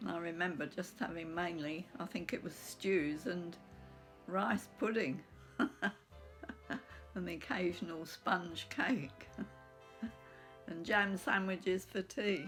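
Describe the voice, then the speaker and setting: With music in the background, a woman in an English accent speaks at a very slow pace, her fairly low pitch carrying lively intonation. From England. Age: 80s+. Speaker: blogger. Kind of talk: casual talk to camera.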